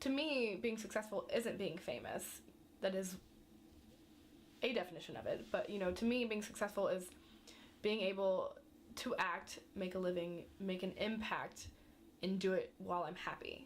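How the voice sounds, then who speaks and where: A woman with an American accent at a moderate pace, ordinary pitch variation and long, frequent pauses. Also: medium pitch for a woman. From US Midwest (rural Indiana). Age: 20s. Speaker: acting student. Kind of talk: documentary interview.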